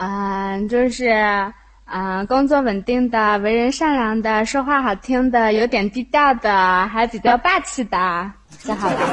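Using an ordinary speaking voice, a woman talks at a fairly slow pace. Her pitch is fairly high, with ordinary pitch variation. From Hefei, Anhui, China. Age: 20s. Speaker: caller. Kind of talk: casual chat. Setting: online voice chat room. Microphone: phone held too close to microphone.

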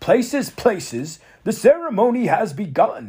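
Putting on a character voice, a man speaks shakily at a high pitch and a moderate pace, with very wide pitch swings. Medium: read story. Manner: fussy, prim, bossy.

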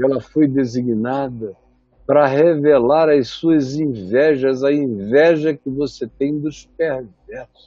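Speaking at a very slow pace, a man with fairly high pitch keeps his intonation fairly even. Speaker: preacher. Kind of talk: sermon. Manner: soft-spoken; low energy.

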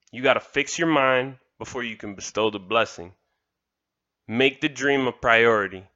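Someone with an American accent speaks at a fairly slow pace in a bright, sharp tone. The pitch variation is ordinary, and the background is quiet. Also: man. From Miami, Florida (Kendall). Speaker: motivational podcaster. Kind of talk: motivational monologue.

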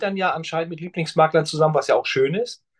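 The sound is dry and close, with no echo. A man talks in a fairly high pitch. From northern Germany. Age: 50s. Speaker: pension insurance specialist. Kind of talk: interview conversation.

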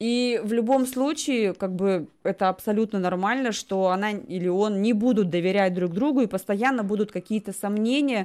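A woman with an unremarkable speaking voice, medium pitch and ordinary pitch variation, at a moderate pace with hardly any pauses and very even loudness, on a very clean recording with a silent background. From Russia. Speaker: talk show host. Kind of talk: casual chat.

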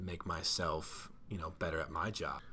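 Speaking with an Ohio accent, a man talks at a fairly slow pace. His pitch is very deep and low. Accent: Midwestern American (Ohio). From northeast Ohio, Cleveland suburbs. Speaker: high school science teacher. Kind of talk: casual interview.

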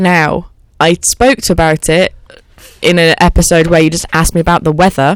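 In a dry, close sound with no echo, a woman with a plain, everyday voice speaks at a moderate pace, fairly low in pitch, with fairly even intonation. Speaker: radio station manager. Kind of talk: casual chat.

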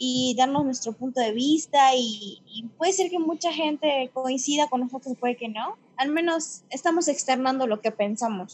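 A woman speaks at a high pitch. Her voice has ordinary pitch variation. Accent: Yucatecan. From Yucatán, Mexico. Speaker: podcast host, literature student. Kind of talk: casual chat.

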